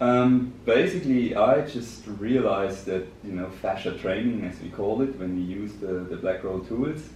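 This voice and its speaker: A man with a German accent and fairly low pitch speaks with ordinary pitch variation and hardly any pauses. Audible room echo and noticeable background noise accompany him. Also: moderate pace. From Germany. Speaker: business director. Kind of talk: podcast interview. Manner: hesitant, many fillers.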